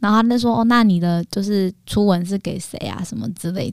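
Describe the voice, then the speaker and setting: This woman's voice sits at a medium pitch. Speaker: podcast co-host and YouTuber. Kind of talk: casual chat.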